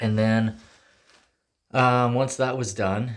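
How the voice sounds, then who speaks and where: A man with a fairly even intonation. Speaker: DIY video maker. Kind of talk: casual tutorial walkthrough. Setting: garage. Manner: hesitant, many fillers.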